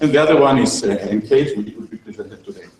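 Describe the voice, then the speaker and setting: At a fairly quick pace, a man speaks in a somewhat breathy voice. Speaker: researcher. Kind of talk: presentation. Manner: halting.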